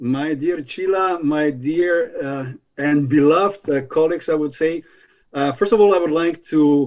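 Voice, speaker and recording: Speaking at a moderate pace with a Slovenian accent, a man keeps a fairly high pitch and fairly even intonation. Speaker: spa association director. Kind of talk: conference presentation. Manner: halting.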